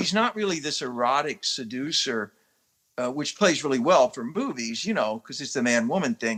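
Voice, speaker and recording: In a very clean recording with a silent background, a man speaks at a fairly high pitch with a bright, sharp tone. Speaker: actor. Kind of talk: interview. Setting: podcast interview. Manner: animated.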